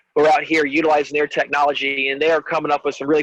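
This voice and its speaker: Recorded dry and close with no echo, a man with an American accent speaks at a fairly high pitch. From Virginia, Prince George. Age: 40s. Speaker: fisheries biologist. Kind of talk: webinar presentation. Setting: video call. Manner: halting.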